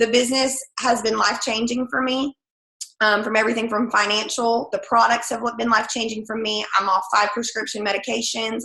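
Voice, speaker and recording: Her pitch fairly high, a woman talks at a fairly quick pace in a monotone, flat intonation. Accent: American. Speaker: direct sales team leader and third grade teacher. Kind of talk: sales training call. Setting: conference call with screen share. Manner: fast.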